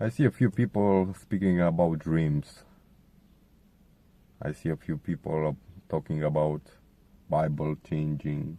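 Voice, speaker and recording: A man's very deep, low voice with a Romanian accent, a dark, mellow tone, ordinary pitch variation, a fairly slow pace with long, frequent pauses, and a dry, close sound with no echo. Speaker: contributor sharing testimony. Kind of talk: testimony.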